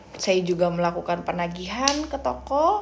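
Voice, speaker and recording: A woman's fairly low voice at a very slow pace, with noticeable background noise. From Indonesia, Pandeglang, Banten. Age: 30s. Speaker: job applicant, sales representative. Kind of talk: self-introduction video. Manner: halting, many fillers.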